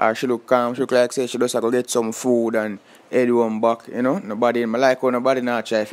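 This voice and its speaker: Speaking very fast with a Jamaican accent, a man talks at a medium pitch. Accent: Jamaican Patois-accented English. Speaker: vlogger. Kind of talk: casual vlog commentary. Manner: animated.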